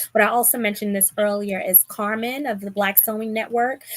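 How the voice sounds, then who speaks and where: Speaking at a moderate pace in a Bronx accent, a woman uses a fairly high pitch and fairly even intonation. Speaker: sewing content creator and live show host. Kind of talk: live stream chat. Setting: live stream video call.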